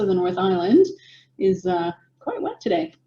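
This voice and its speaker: Somewhat breathy, this woman's voice sits at medium pitch with a dark, mellow tone. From United States. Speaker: business coach. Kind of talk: webinar presentation. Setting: video call.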